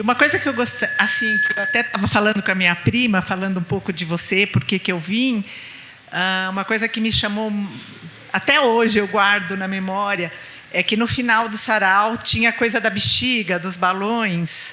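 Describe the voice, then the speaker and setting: Moderate-paced speech from a woman at medium pitch, with ordinary pitch variation and noticeable background noise. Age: 60s. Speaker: audience member. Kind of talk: audience question. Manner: halting.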